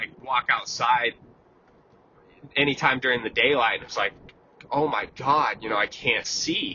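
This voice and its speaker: Speaking at a fairly slow pace, a man uses a medium pitch and fairly even intonation. He leaves long, frequent pauses. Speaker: vlogger. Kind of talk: casual monologue. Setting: in a car. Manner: calm.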